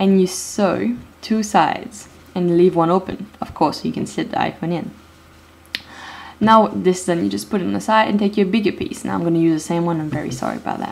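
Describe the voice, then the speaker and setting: Over noticeable background noise, a woman with a non-native accent speaks at a fairly quick pace in a fairly low voice with lively intonation. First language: not English. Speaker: DIY video maker. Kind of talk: tutorial. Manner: hesitant, many fillers.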